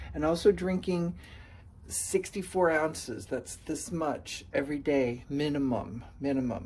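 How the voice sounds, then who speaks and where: A man's somewhat breathy voice with lively intonation and a fairly slow pace. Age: 60s. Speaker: person with multiple sclerosis. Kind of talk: testimony.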